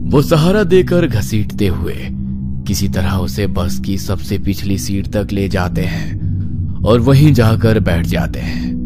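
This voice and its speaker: Over loud music in the background, a man does a put-on character voice at a very deep, low pitch and a fairly slow pace. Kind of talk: horror narration. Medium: read story.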